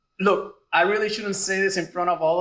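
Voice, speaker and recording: Speaking very fast in a raised, projected voice, a man with a Puerto Rican accent talks at a high pitch. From Puerto Rico. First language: Spanish. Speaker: radiology residency program director. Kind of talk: graduation speech. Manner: casual, joking.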